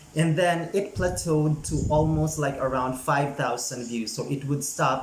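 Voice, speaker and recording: The speech moves at a fairly slow pace with ordinary pitch variation. Audible room echo and noticeable background noise are present. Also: man. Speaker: YouTuber giving channel growth tips. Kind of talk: casual vlog tutorial. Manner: energetic, chatty.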